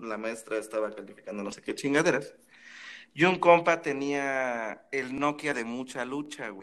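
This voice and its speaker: With an unremarkable speaking voice, a man talks at a fairly slow pace and medium pitch, showing ordinary pitch variation and big swings in loudness. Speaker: podcast co-host. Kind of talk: casual chat.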